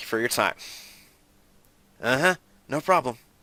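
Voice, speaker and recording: Putting on a rumbling character voice, a man speaks at a medium pitch and a moderate pace. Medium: game stream. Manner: curt, grumbling.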